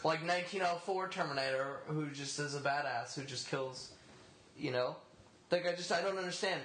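Noticeable background noise and audible room echo surround the speaker. He is a man with a fairly high pitch. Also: ordinary pitch variation, moderate pace. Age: 20s. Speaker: podcast panelist. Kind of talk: casual chat.

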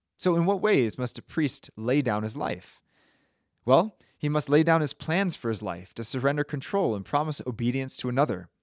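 This man has a plain, everyday voice with an American accent and lively intonation, recorded very cleanly against a silent background. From Connecticut, US. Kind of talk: homily at a first Mass. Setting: church, preaching to a congregation. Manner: solemn, rhetorical, building tension before a reveal; earnest, urgent, exhorting.

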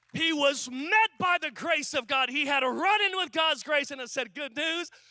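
Fairly slow, raised and projected, the voice has a bright, sharp tone in a very clean recording with a silent background. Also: man. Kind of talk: sermon, preacher in full flow. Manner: animated, fervent, declaring with rising intensity; repetitive, building rhythm with short parallel phrases.

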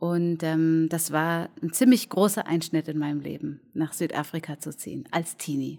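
A woman's very deep, low voice in a dark, mellow tone, at a moderate pace with fairly even intonation and hardly any pauses. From Germany, near Cologne. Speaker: cabaret artist and clown. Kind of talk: casual interview. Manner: reserved; halting.

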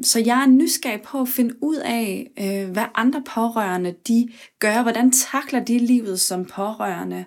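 A woman with a plain, everyday voice speaks fairly slowly at a fairly high pitch with ordinary pitch variation, in a very clean recording with a silent background. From West Jutland, Denmark. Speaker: podcast host. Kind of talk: personal narration.

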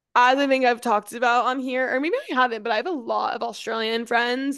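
Against a quiet background, a woman speaks quickly enough at a fairly high pitch, her tone animated and her pace fairly quick. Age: 20s. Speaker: podcast co-host. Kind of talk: casual chat.

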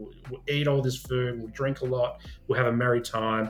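A man talks at a very fast pace with an Australian accent. His intonation is fairly even, and there is noticeable background noise. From Adelaide, South Australia. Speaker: social worker and men's mental health advocate. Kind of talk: interview conversation.

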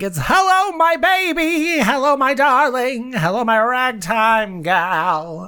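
A man in a put-on character voice at extremely high pitch, fairly slow with hardly any pauses, over noticeable background noise. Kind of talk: old-timey, theatrical. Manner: warm, sing-song, old-fashioned endearments.

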